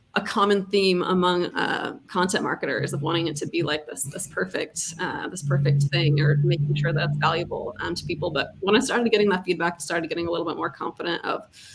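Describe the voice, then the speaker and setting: A woman at a fairly low pitch with ordinary pitch variation, a very fast pace, hardly any pauses, and noticeable background noise. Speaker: content marketer. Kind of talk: casual chat. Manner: hesitant, many fillers.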